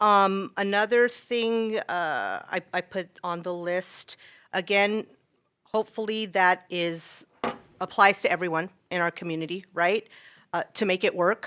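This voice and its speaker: A loud woman's voice at medium pitch, bright, sharp tone, fairly even intonation and fairly slow pace, dry, close sound with no echo, very clean recording with a silent background. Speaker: school teacher speaking at public comment. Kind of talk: public comment at a city council meeting. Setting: council chambers. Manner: hesitant, many fillers.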